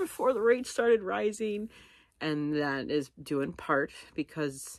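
A woman speaks with very wide pitch swings, her voice dry with no echo over a quiet background. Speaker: vlogger. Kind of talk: casual vlog chat. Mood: candid, a bit anxious. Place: home room. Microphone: phone near.

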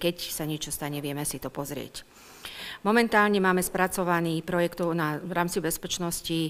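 A woman speaks with a fairly low pitch. Her pace is moderate. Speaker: town official at council meeting. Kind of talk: formal report to council. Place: hall. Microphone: podium.

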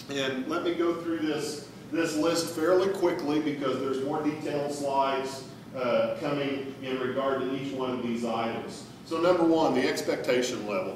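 A man speaks at a moderate pace with ordinary pitch variation. Strong room echo and noticeable background noise surround his voice. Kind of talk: public presentation. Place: hall. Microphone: camera far.

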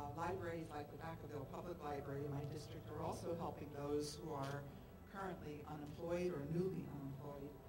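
The speaker has an American accent and fairly even intonation at a fairly quick pace. Background noise is noticeable. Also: woman, very deep, low pitch for a woman. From US Northeast, Philadelphia. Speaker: state senator. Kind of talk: press conference speech. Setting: outdoors on capitol steps. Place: street.

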